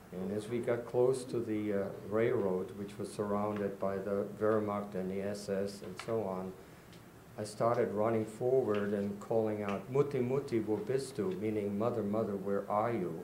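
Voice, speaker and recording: Audible room echo surrounds a man with a dark, mellow tone and a fairly low pitch. He keeps a moderate pace and a fairly even intonation. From Czechoslovakia, Prague. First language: Czech. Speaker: Holocaust survivor. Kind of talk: testimony.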